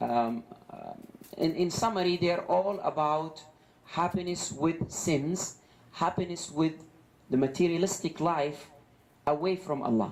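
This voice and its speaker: At a fairly slow pace broken by long, frequent pauses, a man speaks in a high pitch. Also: ordinary pitch variation. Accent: Arabic. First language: Arabic. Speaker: Islamic preacher. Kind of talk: religious lecture. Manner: halting, many fillers and repetitions.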